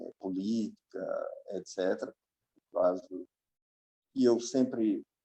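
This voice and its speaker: A man at a very slow pace, with long, frequent pauses, in a dry, close recording with no echo. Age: 60s. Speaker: professor. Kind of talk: conversational interview.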